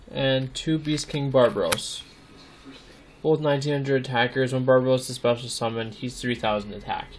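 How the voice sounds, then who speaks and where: Amid noticeable background noise, a man talks at a fairly quick pace with a medium pitch and fairly even intonation. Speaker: card game deck showcase YouTuber. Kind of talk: casual tutorial deck explanation. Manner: hesitant with many ums.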